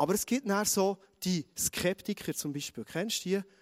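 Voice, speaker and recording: A man's high-pitched, animated voice with a Bernese accent and lively intonation, at a moderate pace, in a dry, close sound with no echo. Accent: Swiss German (Bernese). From Switzerland, Bernese Oberland. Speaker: pastor. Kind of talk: sermon.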